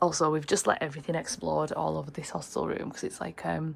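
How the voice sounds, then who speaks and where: A woman talks with a British accent. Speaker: travel vlogger. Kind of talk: casual vlog chat. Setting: hostel room.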